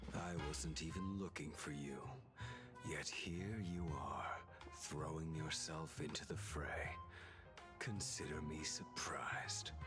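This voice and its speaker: A put-on character voice from a man, very deep and low, at a fairly slow pace over loud background music. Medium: video game. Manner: cold, terse.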